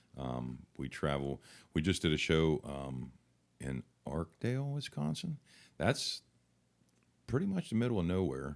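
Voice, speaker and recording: With a West Virginia accent, a man with a very deep, low voice talks fairly slowly with lively intonation and long, frequent pauses. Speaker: country singer. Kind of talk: interview answer. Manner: casual, friendly.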